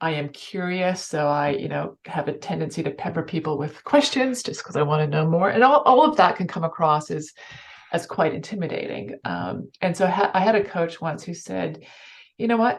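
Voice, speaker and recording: A woman with a Canadian accent, vocal fry, and lively intonation. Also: fairly low pitch for a woman. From Canada. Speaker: financial services executive. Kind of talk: interview. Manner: fast.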